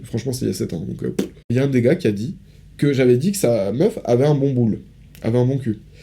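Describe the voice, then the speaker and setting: A man speaks at a very fast pace, his pitch medium with ordinary variation. His tone is dark and mellow, with some vocal fry. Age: 20s. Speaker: podcast co-host. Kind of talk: casual chat.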